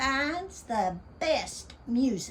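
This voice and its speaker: A woman with an Appalachian accent at a very slow pace. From Appalachian Kentucky. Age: 70s. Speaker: radio DJ. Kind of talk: casual talk to camera.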